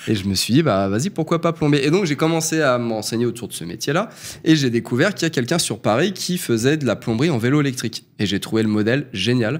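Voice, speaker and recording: A man's intonation is lively as he rattles along at a very fast pace. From Île-de-France (Yvelines); Île-de-France. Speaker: plumber, former community manager; interview guest. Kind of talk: interview testimony. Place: studio. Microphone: studio mic.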